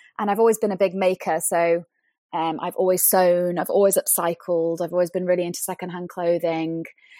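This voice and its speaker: A woman with a British accent, fairly low-pitched, dark and mellow, in a flat monotone at a fairly quick pace, with a dry, close sound, no echo and a very clean, silent background. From UK. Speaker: fashion brand co-founder. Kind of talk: interview conversation.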